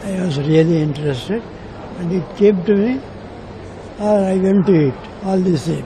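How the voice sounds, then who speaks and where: Long, frequent pauses break up the speech of a man with a high pitch and ordinary pitch variation, heard with audible room echo and noticeable background noise. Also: moderate pace. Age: 90s. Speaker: craftsman. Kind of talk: interview answers.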